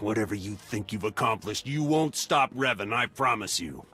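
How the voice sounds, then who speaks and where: Over faint background music, a man uses a raspy put-on character voice at a medium pitch and moderate pace. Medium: video game.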